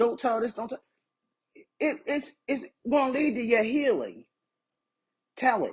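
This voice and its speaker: Fairly slow, animated American-accented speech with long, frequent pauses. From small-town US (Whitesboro). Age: 40s. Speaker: author. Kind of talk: social media livestream monologue.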